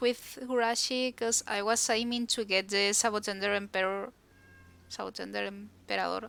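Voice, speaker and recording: Speaking at a moderate pace with a Spanish accent, a woman has a bright, sharp tone. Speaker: video game streamer. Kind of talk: casual chat.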